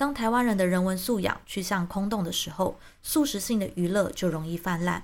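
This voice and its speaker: A woman with an unremarkable speaking voice talks at a fairly quick pace, her pitch medium and its variation ordinary. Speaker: YouTube commentator. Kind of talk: scripted monologue.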